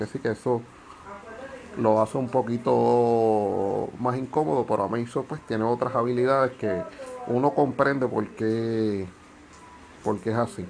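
A man speaks at a fairly slow pace with long, frequent pauses. His pitch is medium and his intonation fairly even. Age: 40s. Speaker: tabletop game video host. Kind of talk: casual explainer video. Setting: outdoors on carport.

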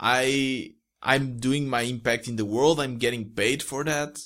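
Over a silent background on a very clean recording, a man speaks in a Portuguese accent. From Portugal. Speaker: solo entrepreneur, podcaster. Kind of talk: casual interview.

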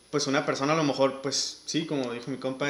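Audible room echo surrounds a man with a Mexican accent and a fairly high pitch. He speaks at a moderate pace with monotone, flat intonation. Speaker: podcast host. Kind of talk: casual chat.

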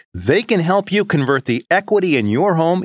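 A man with a high pitch, lively intonation and an American accent, against a quiet background. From Columbus County, North Carolina. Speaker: radio host. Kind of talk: casual interview. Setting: studio.

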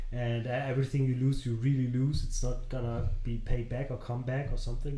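Somewhat breathy and monotone, a man speaks with flat intonation at a fairly quick pace. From northern Germany. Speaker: parenting podcast co-host, father. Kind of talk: casual chat.

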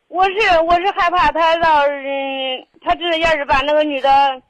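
A woman talks here. The rise and fall of her pitch is ordinary. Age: 30s. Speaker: caller seeking marriage advice. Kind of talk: call-in advice conversation. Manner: halting, repetitive; loud.

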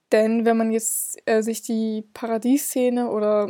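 Her pace is very slow, her intonation fairly even. The woman's fairly high voice carries a dark, mellow tone. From northern Germany, Hamburg. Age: 20s. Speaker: literature student podcaster. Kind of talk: solo educational podcast talk. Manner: hesitant with frequent filler sounds.

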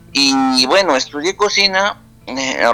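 Music plays behind a man who speaks with a Peruvian accent. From Peru, Huancabamba (Piura highlands) and Lima. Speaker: singer-songwriter and cook. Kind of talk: casual interview. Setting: WhatsApp call.

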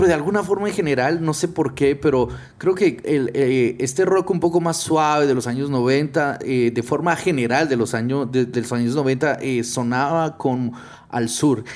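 On a very clean recording with a silent background, a man with a plain, everyday voice speaks at a fairly slow pace and fairly high pitch with ordinary pitch variation. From Guatemala. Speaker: podcast host. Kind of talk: casual chat.

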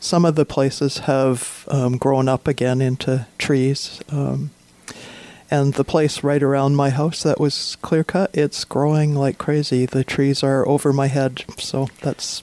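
A woman with a very deep, low voice speaks at a fairly slow pace in a flat monotone, with noticeable background noise behind her. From north central British Columbia, Vanderhoof area. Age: 60s. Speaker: visual artist. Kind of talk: radio interview. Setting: radio studio.

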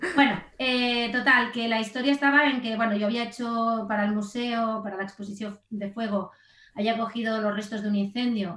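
A woman's fairly high-pitched, plain, everyday voice, with fairly even intonation at a moderate pace. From Spain, Barcelona. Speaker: graphic designer. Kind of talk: interview conversation.

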